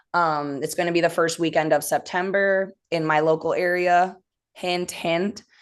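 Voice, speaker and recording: Over a quiet background, a woman talks with a Midwestern accent. She keeps a moderate pace. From US Midwest. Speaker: rock band member. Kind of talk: casual interview.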